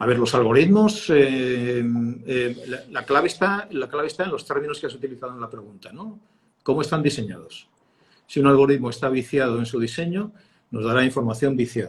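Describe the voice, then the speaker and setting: A somewhat breathy man talks at a fairly quick pace. His intonation is lively, with big swings in loudness. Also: medium pitch for a man. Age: 60s. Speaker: communications consultant, former radio and TV journalist. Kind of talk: interview. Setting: live stream. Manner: hesitant, many fillers.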